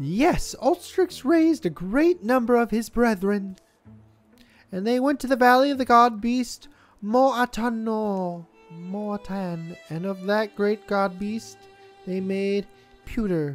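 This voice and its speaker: A put-on character voice speaks at a fairly high pitch, with long, frequent pauses. Faint music plays in the background. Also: fairly slow pace. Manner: earnest, explaining.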